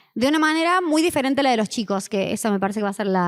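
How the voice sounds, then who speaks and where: A woman with a Cordoba Argentine accent speaks very fast at a fairly high pitch with lively intonation. The recording is very clean with a silent background. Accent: Cordoba accent, Argentina. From Argentina, Córdoba. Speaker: history teacher and online history communicator. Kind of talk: conference panel talk. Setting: conference with audience. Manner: hesitant, many fillers.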